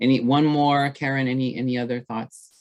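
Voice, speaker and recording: The speaker is a man. He has an American accent. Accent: slight accent, noted by others. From Texas, Rio Grande Valley (Brownsville). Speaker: trainer, webinar presenter. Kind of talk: webinar presentation and discussion.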